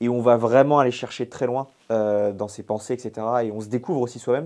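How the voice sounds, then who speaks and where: Against a quiet background, a man of medium pitch speaks with a dark, mellow tone and fairly even intonation. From Brittany, France. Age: 20s. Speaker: ultra-trail runner and coach. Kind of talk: podcast interview.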